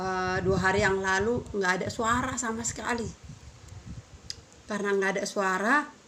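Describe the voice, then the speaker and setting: A woman talks with ordinary pitch variation. Noticeable background noise sits behind her voice. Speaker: vlogger. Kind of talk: casual vlog chat.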